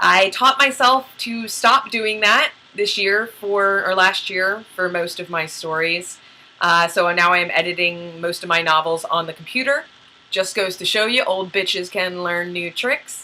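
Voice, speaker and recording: Ordinary pitch variation and a fairly slow pace in a woman's medium-pitched voice. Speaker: novelist and video host. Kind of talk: casual vlog monologue. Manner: loud; animated.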